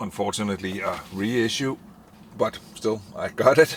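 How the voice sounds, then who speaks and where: Ordinary pitch variation from a man with a non-native accent. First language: not English. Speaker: vinyl collector video host. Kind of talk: casual monologue. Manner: halting, many fillers.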